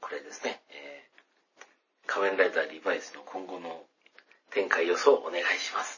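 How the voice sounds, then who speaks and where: A man speaks with a slight Kansai accent. His loudness rises and falls sharply. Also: moderate pace. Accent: faint Kansai. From Hyogo, Kansai, Japan. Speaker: podcast host. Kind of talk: solo casual talk. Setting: bathroom at home. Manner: subdued tone; low energy.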